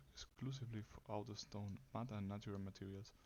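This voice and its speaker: Soft-spoken, a man talks in a fairly low pitch with fairly even intonation. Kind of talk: ASMR soft-spoken facts reading.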